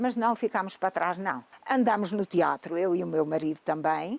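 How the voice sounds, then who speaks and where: At a moderate pace, a woman's voice comes through close and dry, without any echo. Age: 70s. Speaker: grandmother and social media personality. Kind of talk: testimony.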